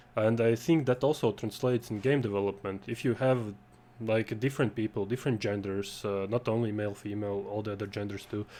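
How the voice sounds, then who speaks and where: The voice has a dark, mellow tone and a non-native accent. It moves at a fairly quick pace with fairly even intonation. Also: man, fairly low pitch for a man. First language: not English. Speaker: game jam organizer and panel host. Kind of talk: panel discussion. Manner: halting, many fillers.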